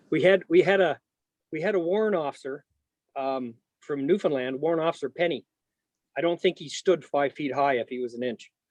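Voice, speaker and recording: With a Canadian accent, the speaker talks at a moderate pace with ordinary pitch variation, in a dry, close sound with no echo. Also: man. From southwestern Ontario, Canada. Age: 50s. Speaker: Gulf War veteran. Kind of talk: oral history interview. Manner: halting, many fillers.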